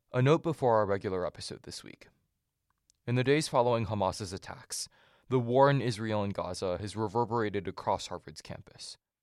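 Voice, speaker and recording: A man with a plain, everyday voice, medium in pitch with ordinary pitch variation, at a fairly quick pace with big swings in loudness, in a very clean recording with a silent background and a dry, close sound with no echo. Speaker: podcast host. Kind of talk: scripted news narration. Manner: formal, measured.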